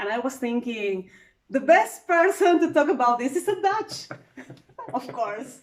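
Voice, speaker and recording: A woman with a Spanish accent speaks in a high voice with very wide pitch swings. Her pace is fairly slow, broken by long, frequent pauses. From Peru. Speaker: travel vlogger. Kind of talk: casual chat.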